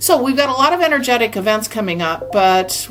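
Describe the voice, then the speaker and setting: Noticeable background noise sits behind a woman talking with lively intonation. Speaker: spiritual channel and energy healer. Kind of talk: monologue to camera. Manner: fast when channeling; chatty, informal.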